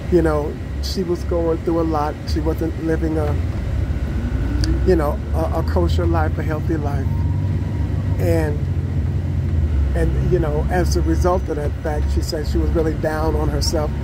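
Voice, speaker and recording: Fairly slow speech with long, frequent pauses over loud background noise. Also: man. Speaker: vlogger. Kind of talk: casual vlog chat. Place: bus. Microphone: phone near.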